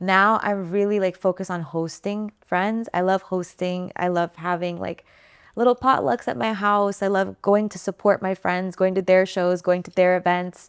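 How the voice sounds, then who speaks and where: A woman with an American accent and an ordinary speaking voice talks at a moderate pace and medium pitch, in a dry, close sound with no echo on a very clean recording with a silent background. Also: fairly even intonation. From United States. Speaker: singer-songwriter. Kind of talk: interview. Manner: casual.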